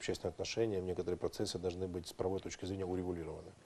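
Very deep, low male voice, dark and mellow in tone. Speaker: international affairs expert and lawyer; lawyer. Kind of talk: TV interview. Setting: studio. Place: studio. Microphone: lapel.

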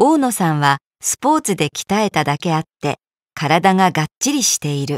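A woman speaks at a moderate pace in a normal speaking voice, fairly low in pitch. The recording is very clean, with a silent background and a dry, close sound with no echo. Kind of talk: reading aloud. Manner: formal.

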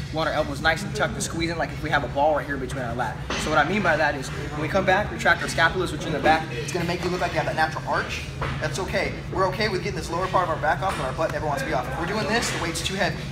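Spoken at a very fast pace with ordinary pitch variation, the voice sits over loud background noise. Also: man. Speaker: fitness vlogger. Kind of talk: tutorial. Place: gym.

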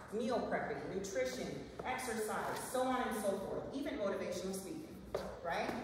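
A woman talks at a moderate pace. Her voice carries strong room echo, with noticeable background noise. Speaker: nurse practitioner and wellness speaker. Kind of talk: live talk to an audience. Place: meeting room. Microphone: camera far.

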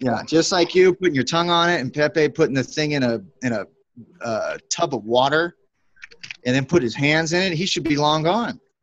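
A man's plain, everyday voice, fairly high, with lively intonation at a moderate pace. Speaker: group member. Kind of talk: casual chat. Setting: video call. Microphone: video call.

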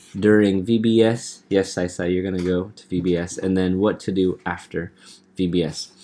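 A man speaks at a fairly slow pace in a very deep, low voice. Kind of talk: training presentation.

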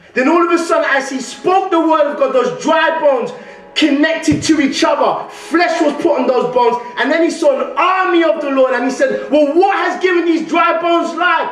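Audible room echo surrounds a man whose extremely high voice moves at a moderate pace with ordinary pitch variation. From London. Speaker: guest preacher. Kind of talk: sermon. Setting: church. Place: church. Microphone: podium.

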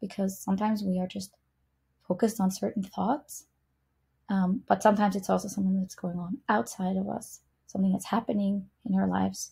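A woman talks at a fairly quick pace in a medium pitch, her tone dark and mellow, somewhat breathy, with fairly even intonation. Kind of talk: software update walkthrough. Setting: screen-recorded video.

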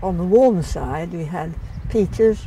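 Very slow and with ordinary pitch variation, a woman's voice comes through with a dry sound, no echo and light background noise. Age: 80s+. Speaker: retired head gardener. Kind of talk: interview answer. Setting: outdoors. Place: garden. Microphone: lapel.

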